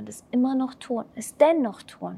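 Speaking at a fairly slow pace, a woman has an unremarkable speaking voice and ordinary pitch variation. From Germany. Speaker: spiritual coach and mentor. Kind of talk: podcast interview.

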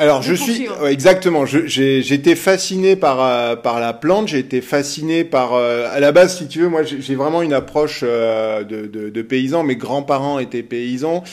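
A fairly high-pitched man at a moderate pace, with ordinary pitch variation, hardly any pauses and noticeable background noise. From central France (Berry, Sancerre area). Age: 50s. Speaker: winery director. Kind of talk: interview. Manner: hesitant, many fillers.

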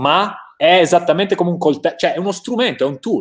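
A man talks at a very fast pace. Vocal fry runs through his voice. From Italy. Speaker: motivational coach and live show host. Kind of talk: live stream interview. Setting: online live stream. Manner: enthusiastic.

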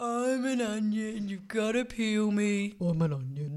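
The voice is a put-on character with a fairly high pitch. It moves at a fairly slow pace. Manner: pretend, playful.

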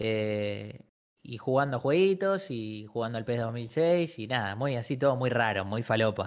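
A man speaks in an ordinary speaking voice at a medium pitch. His pace is fairly slow and his intonation lively. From Argentina, Buenos Aires. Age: 20s. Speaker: streamer. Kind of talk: casual chat.

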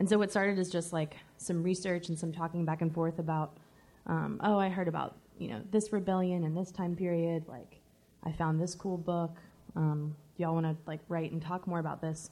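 A woman with an American accent speaks in a dark, mellow tone at fairly low pitch and a moderate pace, her intonation monotone and flat. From US South. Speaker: author, anarchist historian. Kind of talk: live interview. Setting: stage with live audience at book fair.

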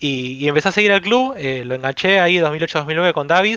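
A man with a bright, sharp tone speaks against a quiet background. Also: dry, close sound with no echo. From Argentina, Avellaneda (Buenos Aires). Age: 20s. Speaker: football fan club member. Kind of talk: casual chat.

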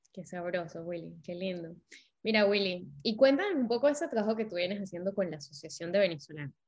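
Somewhat breathy and medium in pitch, a woman talks at a fairly quick pace with lively intonation and big swings in loudness. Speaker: podcast host. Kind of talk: casual interview. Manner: animated.

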